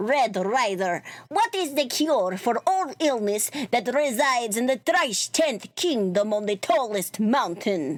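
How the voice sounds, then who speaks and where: In a very clean recording with a silent background, a female-sounding voice does a put-on character voice at a fairly high pitch and a fairly slow pace. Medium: game stream.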